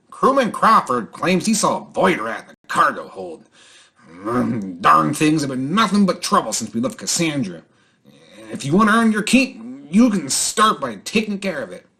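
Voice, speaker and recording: Put-on character voice from a man, high in pitch and delivered at a moderate pace. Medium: actual play. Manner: brisk, no-nonsense.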